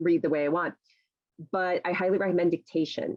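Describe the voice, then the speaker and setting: A woman with a fairly low pitch talks at a very fast pace, the sound dry and close with no echo. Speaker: college writing professor and author. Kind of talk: talk at a writers' meeting. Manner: chatty.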